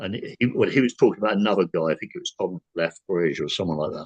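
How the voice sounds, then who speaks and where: Talking at a very fast pace, a man speaks with an English accent. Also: dry, close sound with no echo. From England. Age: 60s. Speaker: paranormal experiencer. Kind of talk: casual chat. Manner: halting.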